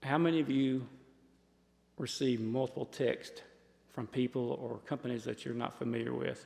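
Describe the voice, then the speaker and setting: A man of medium pitch talks at a moderate pace with fairly even intonation. He leaves long, frequent pauses. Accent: Southern US. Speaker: sheriff's office presenter on scam awareness. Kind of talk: public talk to a community audience. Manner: loud.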